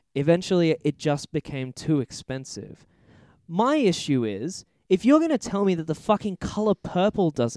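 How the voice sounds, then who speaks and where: The pitch swings very widely at a moderate pace. The sound is dry and close with no echo, on a very clean recording with a silent background. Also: man. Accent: Australian. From Australia. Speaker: podcast co-host, film reviewer. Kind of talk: casual chat.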